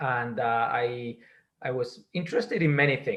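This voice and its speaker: A man with a Spanish accent speaks in a somewhat breathy voice. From Spain. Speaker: data science executive. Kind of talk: interview. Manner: halting, many fillers and repetitions.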